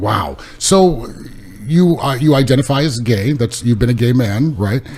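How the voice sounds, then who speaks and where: Noticeable background noise sits behind a man speaking at a fairly slow pace. His medium-pitched voice has lively intonation. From California. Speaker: podcast host. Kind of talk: interview conversation. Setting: in person, away from home.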